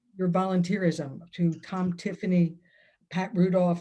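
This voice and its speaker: A woman's fairly low, dark, mellow voice, somewhat breathy, at a moderate pace with monotone, flat intonation. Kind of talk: talk at online event.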